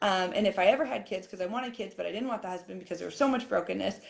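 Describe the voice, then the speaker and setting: A woman talks in an animated tone with vocal fry. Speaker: fitness coach. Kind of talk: live-stream coaching talk. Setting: live video stream. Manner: fast.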